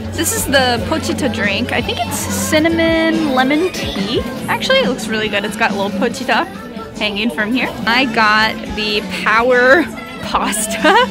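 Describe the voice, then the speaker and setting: A woman's voice in a dry sound with no echo, clear music in the background. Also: ordinary pitch variation, moderate pace. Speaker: travel vlogger. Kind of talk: casual vlog chat. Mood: cheerful, curious. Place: cafe. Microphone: phone near.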